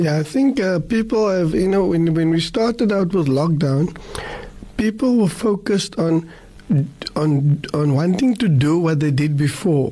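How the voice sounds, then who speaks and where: A man's high voice, fairly slow with lively intonation and very even loudness, over noticeable background noise. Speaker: radio host. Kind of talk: radio interview. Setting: studio.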